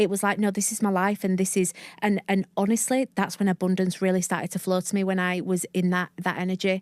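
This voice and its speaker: A woman at medium pitch with a broad Northern English accent, talking very fast with hardly any pauses and very even loudness, dry and close with no echo on a very clean recording with a silent background. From northern England, Leeds. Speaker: mindset coach and podcast host. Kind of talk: interview. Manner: animated.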